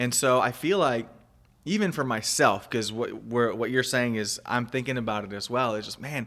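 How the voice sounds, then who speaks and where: On a very clean recording with a silent background, a man with a plain, everyday voice talks at a medium pitch with ordinary pitch variation. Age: 30s. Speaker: podcast host. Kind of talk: casual chat.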